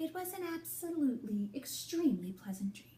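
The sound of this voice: A woman speaks at a moderate pace in a high, dark, mellow voice that makes big pitch swings.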